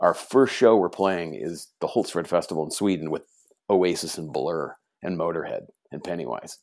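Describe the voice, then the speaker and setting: A man with a Californian accent speaks at a moderate pace in a very deep, low pitch, with ordinary pitch variation and big swings in loudness, on a very clean recording with a silent background. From US West Coast, Orange County, California. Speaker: hardcore punk musician. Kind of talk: casual interview.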